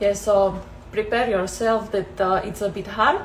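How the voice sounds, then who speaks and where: A woman's medium-pitched voice in a Slovak accent, fairly slow and with fairly even intonation, with audible room echo. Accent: Slovak accent, noticeable. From Slovakia. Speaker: travel vlogger. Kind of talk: casual Q&A vlog. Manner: hesitant, many fillers.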